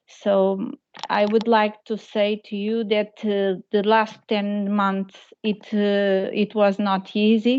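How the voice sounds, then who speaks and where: Very slowly and in a monotone, flat intonation, a woman speaks at a medium pitch with a Portuguese accent. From Portugal. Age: 40s. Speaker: patient association president, parent. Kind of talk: webinar testimony.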